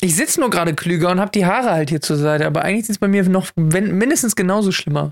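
A woman at medium pitch speaks very fast with hardly any pauses. Her loudness stays very even on a very clean recording with a silent background. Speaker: podcast co-host. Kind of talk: casual chat. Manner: louder show voice. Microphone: mic placed very close.

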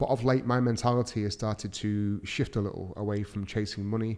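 In a very clean recording with a silent background, a man with a Mancunian accent speaks at a fairly quick pace, his pitch fairly low and his intonation fairly even. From Manchester, England. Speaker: podcast host, entrepreneur. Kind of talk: solo podcast monologue.

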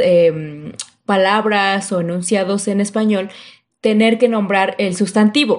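A woman's plain, everyday voice, medium in pitch and fairly slow, over a quiet background. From Mexico City. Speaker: podcast guest. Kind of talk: casual educational chat.

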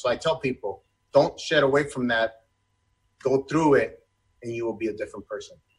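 Somewhat breathy, a man talks at a medium pitch. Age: 40s. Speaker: personal trainer and former sheriff's deputy. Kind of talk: casual interview. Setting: video call (live stream). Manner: animated.

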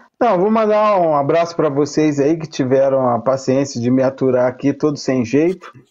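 At a moderate pace and with hardly any pauses, a man with a fairly high pitch and ordinary pitch variation speaks in a normal speaking voice. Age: 50s. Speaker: sales representative, football fan panelist. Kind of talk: casual chat.

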